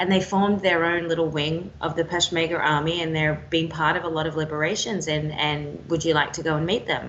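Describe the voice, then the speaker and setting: Over noticeable background noise, a woman with an Australian accent talks at a fairly quick pace in a very deep, low voice with fairly even intonation. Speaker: war and foreign correspondent. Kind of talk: interview answer.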